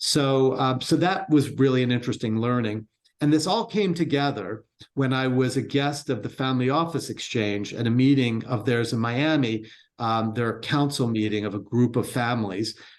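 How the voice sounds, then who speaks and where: A man speaks with an American accent at medium pitch and a moderate pace. His is an unremarkable speaking voice with ordinary pitch variation. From Baltimore, US. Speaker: entrepreneur and wealth firm co-founder. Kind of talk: interview conversation.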